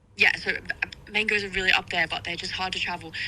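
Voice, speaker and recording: Speaking with an Australian accent, a woman uses a fairly low pitch and a fairly quick pace. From Australia, small town near Sydney. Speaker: electronic music artist. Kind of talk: radio interview. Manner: casual, many fillers.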